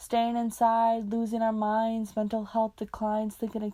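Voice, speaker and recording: In an American accent, a woman speaks at a moderate pace with a dark, mellow tone, the sound dry and close with no echo. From United States. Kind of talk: spoken word poetry. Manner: angry, impassioned.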